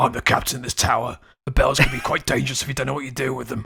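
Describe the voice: A gruff, raspy put-on character voice from a man in a Cockney accent, medium-pitched and very fast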